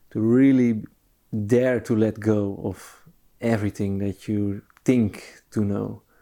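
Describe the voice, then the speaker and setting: A dark, mellow tone with a Dutch accent speaks in a monotone, flat intonation on a very clean recording with a silent background. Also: man. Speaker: podcast host. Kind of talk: interview conversation. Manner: halting.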